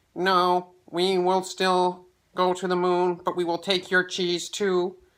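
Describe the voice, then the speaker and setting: Putting on a character voice, a man speaks at a high pitch and a fairly slow pace, with monotone, flat intonation. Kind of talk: bedtime story. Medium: read story.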